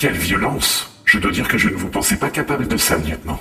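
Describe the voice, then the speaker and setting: A man does a put-on character voice at a fairly quick pace. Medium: audio drama. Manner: formal, prim.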